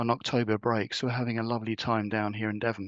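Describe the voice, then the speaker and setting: A man with a southern English accent, talking at a very fast pace in a monotone, flat intonation. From southern England, Wiltshire. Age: 60s. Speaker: leadership coach and retreat facilitator.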